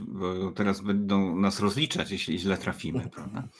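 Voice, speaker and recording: In a plain, everyday voice, a man with a fairly low pitch talks at a moderate pace against a quiet background. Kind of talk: panel discussion. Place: home room.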